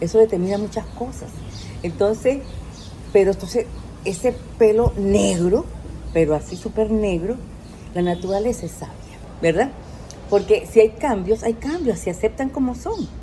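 With noticeable background noise, a woman speaks at a moderate pace, leaving long, frequent pauses. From Venezuela. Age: 60s. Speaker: life coach. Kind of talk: casual interview. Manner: animated.

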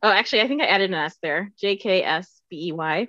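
Bright and sharp in tone, a woman speaks at a medium pitch with ordinary pitch variation. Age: 30s. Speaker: nonprofit fundraiser. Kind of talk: casual chat.

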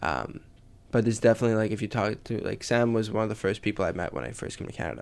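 A man's fairly low voice with vocal fry and fairly even intonation at a very fast pace, in a very clean recording with a silent background. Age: 20s. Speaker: student podcast host. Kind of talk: casual interview.

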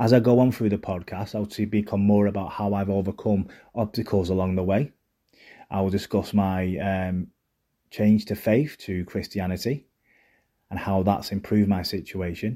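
At a moderate pace and with a Mancunian accent, a man with a fairly low pitch and a dark, mellow tone keeps his intonation fairly even on a very clean recording with a silent background. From Manchester, northern England. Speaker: mental health podcaster. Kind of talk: personal monologue.

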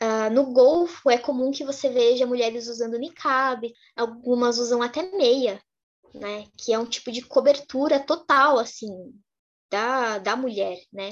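Her voice is high in pitch. This woman's pitch varies in an ordinary way. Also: fairly slow pace. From Brazil. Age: 20s. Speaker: activist and content creator on Middle East topics. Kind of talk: interview.

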